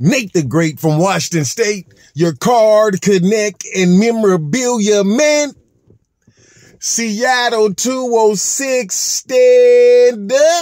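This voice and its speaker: A man speaks at a very slow pace. The sound is dry with no echo, and the background is quiet. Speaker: hobby vlogger. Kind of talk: casual vlog chat. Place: car. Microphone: phone near.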